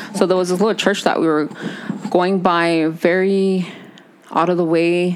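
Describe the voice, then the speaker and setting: A woman's fairly quick speech keeps a fairly even intonation, with noticeable background noise behind it. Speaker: podcast co-host. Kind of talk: casual chat. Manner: chatty, talkative.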